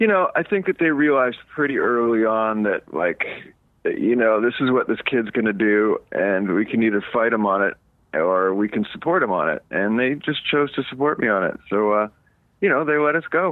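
A man with a normal speaking voice talks at a moderate pace and medium pitch, with lively intonation and very even loudness. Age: 50s. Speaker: punk rock musician. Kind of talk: casual interview.

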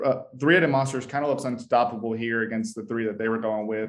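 Here a man speaks at a medium pitch. His pace is fairly quick. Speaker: podcast host. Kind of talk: casual sports podcast recap. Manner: energetic, upbeat.

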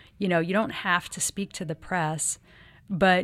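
Fairly low in pitch, a woman speaks slowly, at a fairly slow pace, in a plain, everyday voice with fairly even intonation. The recording is very clean, with a silent background. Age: 30s. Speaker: model and activist. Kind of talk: interview.

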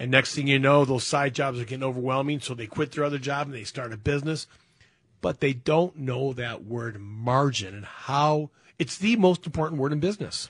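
A man speaks at a fairly quick pace in a fairly high, somewhat breathy voice. His pitch varies in an ordinary way while his loudness swings widely. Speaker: radio host. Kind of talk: casual radio call-in show.

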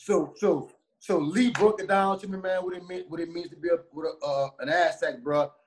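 A man with a New Orleans accent talks at a fairly quick pace and a high pitch, his tone animated. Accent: New Orleans twang. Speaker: former college running back and youth coach. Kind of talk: casual interview.

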